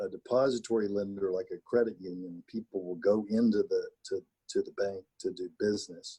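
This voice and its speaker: A man speaks with a Texas accent. The sound is dry and close, with no echo. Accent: Texas drawl. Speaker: county judge. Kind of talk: briefing on a forum call. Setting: conference call.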